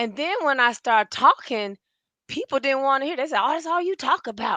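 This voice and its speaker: High-pitched woman's raised, projected voice, bright and sharp in tone, with lively intonation at a moderate pace, dry and close with no echo over a quiet background. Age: 60s. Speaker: podcast co-host. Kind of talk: casual chat, personal testimony. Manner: emotional.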